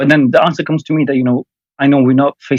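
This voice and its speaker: This man talks at a very fast pace with a medium pitch. The sound is dry and close, with no echo. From Afghanistan. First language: Farsi. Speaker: caller. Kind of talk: casual chat. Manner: halting.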